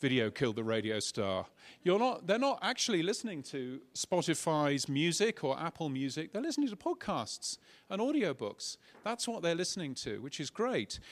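In a very clean recording with a silent background, a man with a British accent speaks at a high pitch with very wide pitch swings. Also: moderate pace. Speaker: podcast industry speaker. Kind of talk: conference keynote. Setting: stage with audience.

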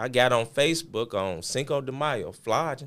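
A man's voice with vocal fry and ordinary pitch variation. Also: very clean recording, silent background. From Memphis, Tennessee. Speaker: clothing brand owner. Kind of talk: casual interview.

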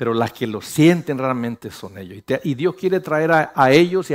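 A man speaks at a fairly high pitch and a moderate pace. His tone is animated and his intonation lively. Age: 50s. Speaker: pastor. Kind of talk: sermon.

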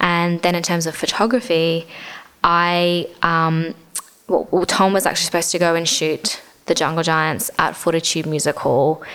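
At a fairly low pitch and moderate pace, a woman with an Australian accent speaks with fairly even intonation. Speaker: gig photographer. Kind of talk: casual interview. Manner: casual, uses many fillers.

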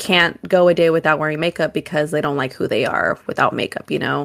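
With an American accent, a woman in a plain, everyday voice talks at a fairly quick pace, fairly low-pitched and with fairly even intonation, on a very clean recording with a silent background. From US West Coast, Oakland area. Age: 20s. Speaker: podcast co-host. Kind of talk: casual chat.

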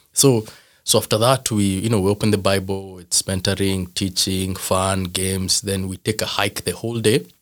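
A man with a Kenyan accent talks at a moderate pace in a fairly low pitch. His intonation is monotone and flat, on a very clean recording with a silent background. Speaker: father and former youth pastor. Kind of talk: casual interview chat.

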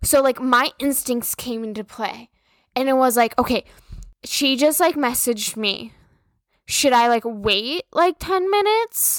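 A loud, high-pitched woman's voice with lively intonation and a dry, close sound with no echo. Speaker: podcast host. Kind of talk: casual monologue.

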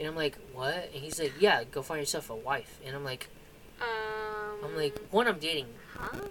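A man's fairly high voice with lively intonation at a moderate pace, over noticeable background noise. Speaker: podcast co-host. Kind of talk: casual chat.

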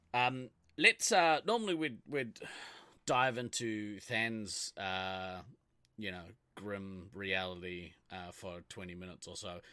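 A man with a New Zealand accent at a very slow pace, fairly low in pitch with ordinary pitch variation, a bright, sharp tone and big swings in loudness, in a very clean recording with a silent background. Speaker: podcast host. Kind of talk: casual chat.

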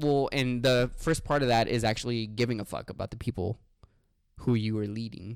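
A man with a medium-pitched voice speaks in a passionate tone with fairly even intonation. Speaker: podcast co-host. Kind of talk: casual banter podcast, with an angry rant near 27:15.

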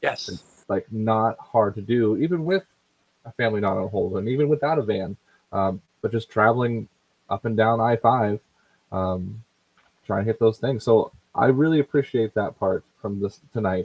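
A man with an American accent, an unremarkable speaking voice, medium pitch and moderate pace. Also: ordinary pitch variation. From US. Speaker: podcast co-host.

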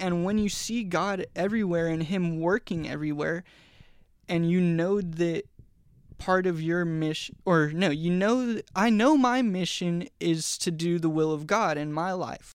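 A high-pitched man with an American accent at a fairly slow pace, in a very clean recording against a silent background. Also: ordinary pitch variation. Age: 20s. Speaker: former drug addict sharing his faith story. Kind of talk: testimony. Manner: casual, with repetitions and false starts.

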